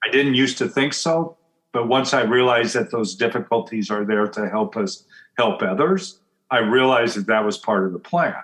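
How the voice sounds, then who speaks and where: With an American accent, a man speaks at a moderate pace in a medium pitch, his intonation lively. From US Pacific Northwest, Portland, Oregon. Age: 60s. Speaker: business coach and author. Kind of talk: interview conversation.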